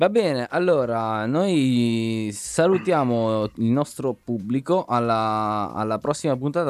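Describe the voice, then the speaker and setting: Music plays behind a man speaking at a very slow pace with a medium pitch. His pitch swings very widely, and the sound is dry and close with no echo. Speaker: podcast host. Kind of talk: casual chat. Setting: video call.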